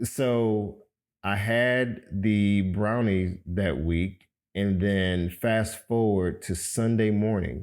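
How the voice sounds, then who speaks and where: A man with an American accent at a very slow pace, ordinary pitch variation and very even loudness, on a very clean recording with a silent background. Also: fairly low pitch for a man. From Miami, Florida. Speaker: podcast host. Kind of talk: personal testimony. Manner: casual, conversational.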